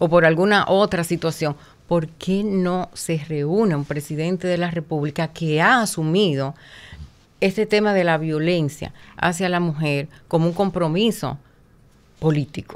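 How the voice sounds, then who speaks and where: In a very clean recording with a silent background, a plain, everyday voice speaks at a fairly slow pace with ordinary pitch variation. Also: woman, fairly low pitch for a woman. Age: 60s. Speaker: women's rights advocate. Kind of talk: interview.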